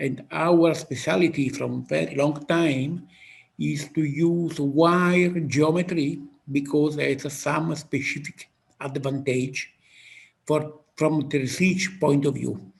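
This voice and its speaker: A strong Italian accent marks this somewhat breathy voice. The pace is very slow. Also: man, fairly high pitch for a man, fairly even intonation. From Italy. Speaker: physicist. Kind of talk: interview. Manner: halting.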